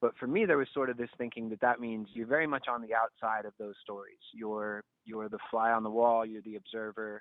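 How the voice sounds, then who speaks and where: In an ordinary speaking voice, a man talks fairly quickly at a medium pitch. His intonation stays fairly even while his loudness swings a lot. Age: 30s. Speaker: nonprofit founder. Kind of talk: interview.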